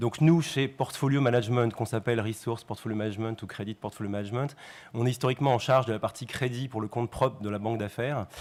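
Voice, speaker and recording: Talking at a very fast pace, a man with a medium pitch keeps his intonation fairly even. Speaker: bank risk manager. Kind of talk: conference presentation.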